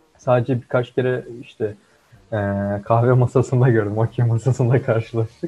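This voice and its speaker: A man at medium pitch speaks in a flat monotone, his tone dark, mellow and somewhat breathy, at a moderate pace with very even loudness. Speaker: co-host, computer engineering student. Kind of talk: casual chat.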